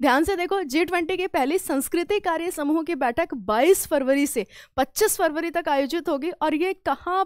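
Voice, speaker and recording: An animated woman with ordinary pitch variation, at a fairly slow pace, in a quiet background with a dry sound with no echo. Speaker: current affairs teacher; exam prep teacher. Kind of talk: live online class. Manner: halting, words get stuck; animated, conversational. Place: studio. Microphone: headset.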